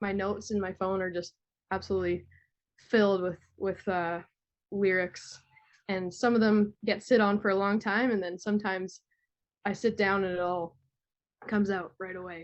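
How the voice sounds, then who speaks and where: Medium-pitched woman's voice with monotone, flat intonation. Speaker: musician. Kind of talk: interview. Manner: halting, many fillers.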